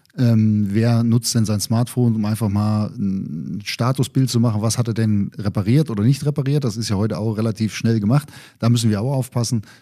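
A man's dark, mellow tone at a moderate pace, with ordinary pitch variation and hardly any pauses. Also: medium pitch for a man. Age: 50s. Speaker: head of data center security. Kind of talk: casual interview. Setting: studio.

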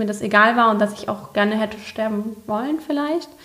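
Here is a woman with a fairly high pitch. There is noticeable background noise. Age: 30s. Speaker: leukemia survivor and social media expert. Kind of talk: casual interview chat. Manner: animated.

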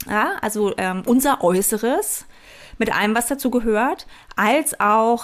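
A woman at a fairly slow pace, with ordinary pitch variation. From East Germany. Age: 40s. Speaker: life and business coach, podcast host. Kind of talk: motivational solo podcast monologue. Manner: animated, enthusiastic, laughs often.

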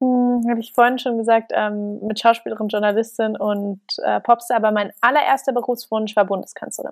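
A woman speaks in a normal speaking voice at a fairly high pitch, with fairly even intonation and hardly any pauses, recorded with a dry, close sound and no echo. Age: 20s. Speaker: company founder and author. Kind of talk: casual interview.

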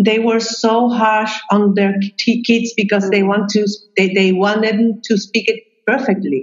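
Her voice sits fairly high in pitch. This woman takes a fairly slow pace. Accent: Chilean. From Chile. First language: Spanish. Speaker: psychologist and expat coach. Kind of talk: casual interview. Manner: halting; warm, laughs often.

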